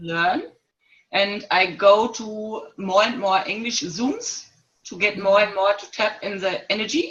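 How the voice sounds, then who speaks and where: With a German accent, a woman speaks at a fairly slow pace with ordinary pitch variation and big swings in loudness. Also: medium pitch for a woman. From Germany. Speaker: workshop participant. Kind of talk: casual online group chat. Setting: video call. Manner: halting.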